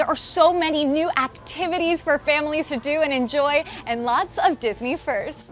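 A woman's high-pitched, upbeat, energetic voice at a moderate pace with hardly any pauses and ordinary pitch variation, dry with no echo, over faint background music. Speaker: TV host and reporter. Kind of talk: TV host reel, on-camera presenting. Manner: upbeat, energetic, bright. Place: boat. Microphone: lapel.

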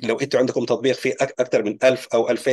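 Medium in pitch, a man talks at a very fast pace. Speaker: online business educator. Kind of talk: tutorial.

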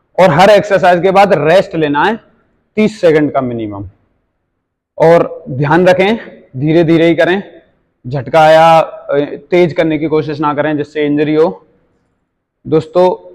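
A man speaks at a very slow pace with long, frequent pauses. His pitch varies in an ordinary way. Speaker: fitness trainer. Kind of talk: tutorial. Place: gym.

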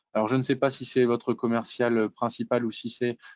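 In a dry recording with no echo and a quiet background, a man talks at a moderate pace with monotone, flat intonation. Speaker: webinar moderator. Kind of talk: webinar moderation, casual professional. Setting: video call webinar. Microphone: video call.

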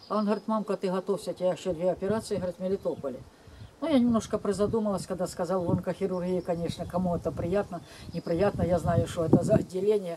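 Noticeable background noise sits behind the speech. A woman talks at a very fast pace with ordinary pitch variation. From Ukraine. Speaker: vlogger telling family memories. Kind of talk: casual personal storytelling to camera. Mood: calm, reflective. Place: garden. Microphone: camera far.

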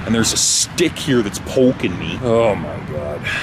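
A man talks at a moderate pace. Loud background noise is heard behind him. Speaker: camping vlogger. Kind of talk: casual vlog chat. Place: forest. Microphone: phone near.

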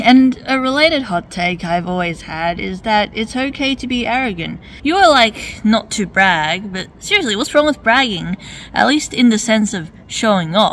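A woman speaks at a moderate pace in a fairly high voice. Her intonation is lively. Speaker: webcomic artist and video commentator. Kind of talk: reaction and commentary video. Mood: argumentative, wry. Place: street. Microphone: phone near.

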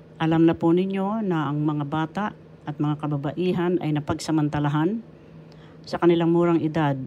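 A woman talks at a moderate pace with fairly even intonation. Her pitch is very deep and low, with a dark, mellow tone. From Philippines. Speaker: retired teacher and author. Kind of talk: religious talk. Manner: formal.

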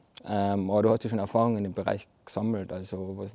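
This man talks fairly quickly in a fairly low voice with a dark, mellow tone. His intonation is monotone and flat. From Carinthia, Austria. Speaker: architect. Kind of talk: casual interview chat. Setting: outdoors in front of a hall. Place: hall.

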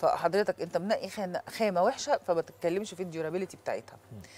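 A woman speaks at a fairly quick pace. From Egypt. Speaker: dentist; guest. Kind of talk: TV talk show interview. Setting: studio with audience. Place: studio.

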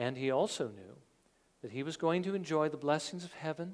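This man speaks at a moderate pace. His pitch variation is ordinary. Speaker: preacher. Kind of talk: sermon. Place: studio.

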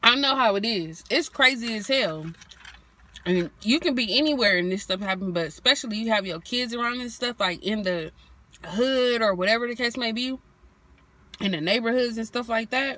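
A woman speaks at a moderate pace, the sound dry with no echo. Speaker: vlogger. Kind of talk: casual vlog chat. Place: car. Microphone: phone near.

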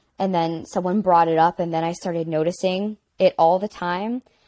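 Against a quiet background, a woman with an American accent speaks in a dark, mellow tone with fairly even intonation. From Pittsburgh, Pennsylvania. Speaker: singer-songwriter and actor; panelist. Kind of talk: live panel discussion. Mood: reflective, candid. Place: home room.

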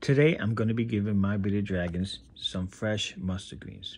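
A man with a fairly low pitch talks at a fairly slow pace, sounding somewhat breathy. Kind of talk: casual pet vlog narration. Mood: upbeat, enthusiastic. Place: home room. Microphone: phone near.

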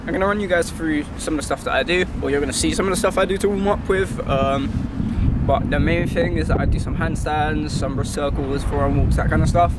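A man rattles along at a very fast pace with loud background noise, the sound dry with no echo. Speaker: calisthenics creator. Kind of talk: casual vlog chat. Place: street.

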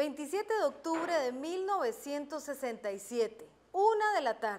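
Over light background noise, a woman talks at a moderate pace in a high voice with very wide pitch swings. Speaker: journalist interviewer. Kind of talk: TV documentary narration. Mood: warm, gentle. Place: garden.

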